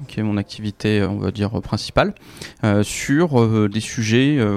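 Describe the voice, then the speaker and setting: A man talks with ordinary pitch variation. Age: 30s. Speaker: author and climate blogger. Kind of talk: interview. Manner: hesitant with many fillers.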